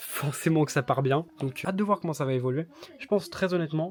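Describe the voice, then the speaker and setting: A man with ordinary pitch variation. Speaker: YouTuber covering reselling business. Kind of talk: vlog commentary. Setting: in an office/storage premises. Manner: hesitant fillers; soft-spoken.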